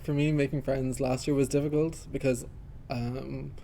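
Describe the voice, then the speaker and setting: A man with an Irish accent talks at a fairly quick pace. His medium-pitched voice is monotone, with flat intonation. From Ireland. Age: 20s. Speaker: university student. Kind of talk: casual interview. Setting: studio.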